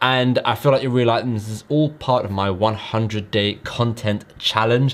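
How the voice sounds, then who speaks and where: Speaking at medium pitch, a man keeps his intonation fairly even. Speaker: online business youtuber. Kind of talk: casual vlog talk. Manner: fast.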